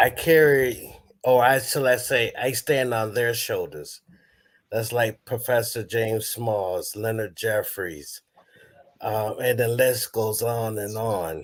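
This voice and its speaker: A man at medium pitch and a very slow pace. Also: ordinary pitch variation. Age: 60s. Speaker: elder on a spiritual counseling panel. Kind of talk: panel Q&A discussion. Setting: live broadcast.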